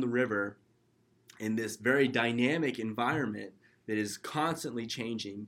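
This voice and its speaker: In an American accent, a man delivers his words at a moderate pace and medium pitch with fairly even intonation, an unremarkable speaking voice on a very clean recording with a silent background. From California (Kernville). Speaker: startup co-founder, student. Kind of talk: casual chat.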